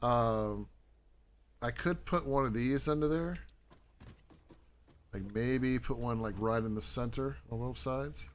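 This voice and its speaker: Speaking at a fairly slow pace with long, frequent pauses, a man is heard with audible room echo. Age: 50s. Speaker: gaming streamer. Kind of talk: live gameplay stream. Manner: casual, halting.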